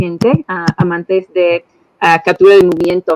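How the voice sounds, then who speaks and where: A woman talks with ordinary pitch variation while noticeable background noise carries on behind her. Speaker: regional business manager. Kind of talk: workshop presentation. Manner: halting, with fillers. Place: home room. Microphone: video call.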